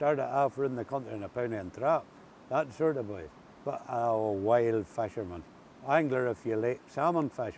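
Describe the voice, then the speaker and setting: Lively intonation in an Ulster accent. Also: man. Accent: Ulster-Scots. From Northern Ireland. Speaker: water service worker. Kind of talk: casual conversational storytelling.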